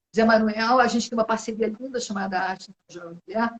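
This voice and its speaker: Somewhat breathy and fairly high, a woman's voice shows ordinary pitch variation in a dry, close sound with no echo. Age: 60s. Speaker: singer-songwriter. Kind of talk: interview. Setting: video call.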